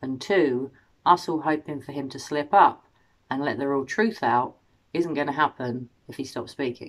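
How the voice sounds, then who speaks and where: The voice shows big swings in loudness and ordinary pitch variation against a quiet background. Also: woman, very deep, low pitch for a woman, moderate pace. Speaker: true crime commentator. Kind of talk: commentary. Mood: concerned, earnest. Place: home room. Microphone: phone near.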